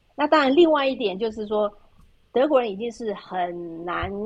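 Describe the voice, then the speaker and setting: The intonation is lively. The pace is moderate. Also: woman. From Taiwan. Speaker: expat living in Europe. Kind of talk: casual interview chat. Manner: halting, with many fillers and repetitions.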